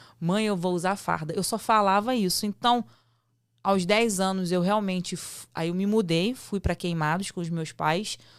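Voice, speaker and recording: A woman with an unremarkable speaking voice talks at a fairly slow pace, in a medium pitch with fairly even intonation. The recording is very clean, with a silent background. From Rio de Janeiro, Brazil. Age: 30s. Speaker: state politician and army veteran. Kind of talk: podcast interview. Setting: studio.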